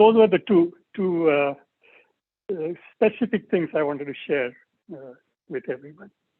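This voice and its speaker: Pitched high, a man talks at a moderate pace with lively intonation and long, frequent pauses. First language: Marathi. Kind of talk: personal reminiscence at an online tribute. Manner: halting, with many fillers.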